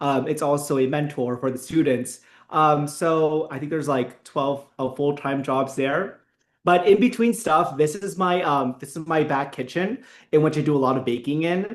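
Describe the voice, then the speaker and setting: The speaker is a man with an American accent and a plain, everyday voice, pitched fairly high. His pace is moderate and his pitch variation ordinary. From US, Filipino immigrant family. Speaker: friar and baker. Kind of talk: cooking tutorial. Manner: casual with fillers.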